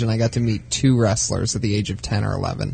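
A man with an American accent at a moderate pace, monotone and flat in intonation, over noticeable background noise. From Youngstown, Ohio, US. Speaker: comedian. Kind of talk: casual chat.

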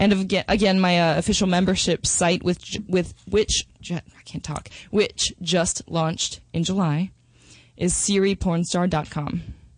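In an American accent, a woman speaks fairly slowly at a fairly low pitch, her intonation monotone and flat. The background is quiet. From Minnesota and Texas, US. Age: 20s. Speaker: adult film performer. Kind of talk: interview.

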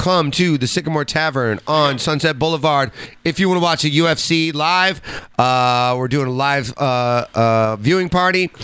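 A man with an American accent speaks in a plain, everyday voice, fairly high in pitch, at a fairly slow pace with ordinary pitch variation and very even loudness. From Chicago area, US. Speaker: podcast guest and sports fan. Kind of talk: casual banter, joking chat. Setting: livestream with video.

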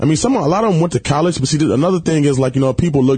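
A man with a dark, mellow tone and a somewhat breathy voice talks at a very fast pace. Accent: American. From Detroit, Michigan (west side). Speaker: reality TV personality. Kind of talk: casual chat. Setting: studio.

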